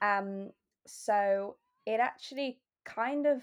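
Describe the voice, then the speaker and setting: A woman with a southern English accent speaks at a medium pitch. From southwest England. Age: 20s. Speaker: copywriter. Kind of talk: interview.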